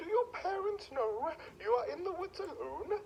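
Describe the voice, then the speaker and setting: Over clear background noise, a put-on character voice at an extremely high pitch speaks at a moderate pace. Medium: read story.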